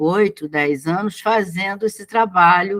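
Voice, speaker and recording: Ordinary pitch variation in a woman's very slow speech. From Brazil. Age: 60s. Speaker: business consultant. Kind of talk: casual chat.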